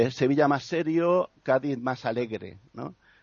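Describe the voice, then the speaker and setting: A man delivers his words very slowly, his pitch varying in an ordinary way. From Murcia, Spain. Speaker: musician and poet. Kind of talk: casual chat.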